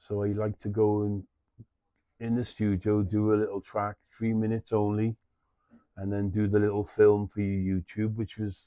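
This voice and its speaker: This man speaks with a Scouse accent in a fairly low voice of dark, mellow tone, his intonation flat and monotone. The sound is dry and close, with no echo. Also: moderate pace. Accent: Scouse (Liverpool) English. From Liverpool, England. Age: 60s. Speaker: artist and musician. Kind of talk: casual interview chat. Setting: his flea market.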